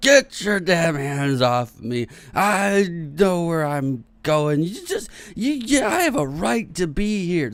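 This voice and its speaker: A man's shouted, raised and projected put-on character voice, high in pitch, fairly slow, with very wide pitch swings. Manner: yelling loudly.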